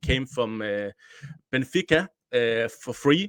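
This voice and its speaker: A man speaks with a Danish accent at a medium pitch and a fairly slow pace. The sound is dry and close, with no echo. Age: 30s. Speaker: football journalist and podcaster. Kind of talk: casual podcast chat. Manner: halting.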